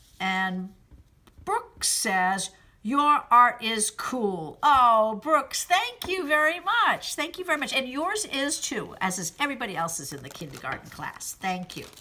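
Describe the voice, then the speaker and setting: In an American accent, a woman speaks at a fairly slow pace with a high pitch. Her pitch swings very widely and her loudness shifts a lot. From Massachusetts, US. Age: 60s. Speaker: fiber artist. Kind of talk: answering children's questions in a recorded video message. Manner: gentle, kid-friendly.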